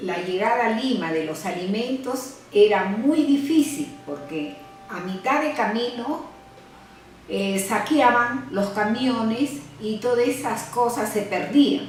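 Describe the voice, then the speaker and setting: Someone speaks very slowly with lively intonation, music in the background and audible room echo. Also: woman, fairly high pitch for a woman. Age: 70s. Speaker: interviewee recounting history. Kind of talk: testimony. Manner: halting, with hesitations.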